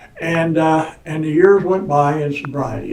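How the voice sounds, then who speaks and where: With an American accent, a man with a fairly high pitch and fairly even intonation talks amid audible room echo and noticeable background noise. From Indiana. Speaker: recovering alcoholic telling his story. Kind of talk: personal testimony. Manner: loud; halting, repeats words.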